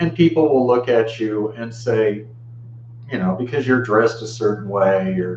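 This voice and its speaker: A man at medium pitch with fairly even intonation, moderate pace, and audible room echo. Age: 50s. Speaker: Buddhist video blogger. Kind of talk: personal video monologue. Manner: casual, conversational.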